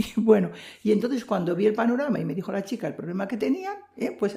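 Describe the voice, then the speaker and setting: This woman talks very fast. Her voice sits fairly high. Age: 80s+. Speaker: missionary nun. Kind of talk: testimony. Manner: halting.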